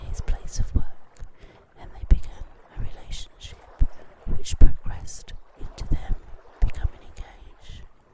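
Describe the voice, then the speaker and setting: A woman whispers over noticeable background noise. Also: long, frequent pauses, big swings in loudness. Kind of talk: ASMR whispered true crime narration. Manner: whispered, soft, slow.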